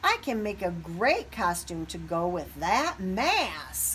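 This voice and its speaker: Against clear background noise, a woman uses a put-on character voice at a fairly slow pace. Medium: read story.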